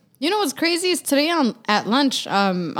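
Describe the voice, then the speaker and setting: On a very clean recording with a silent background, a woman in an unremarkable speaking voice talks at a fairly quick pace with lively intonation. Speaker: podcast co-host. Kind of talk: casual chat.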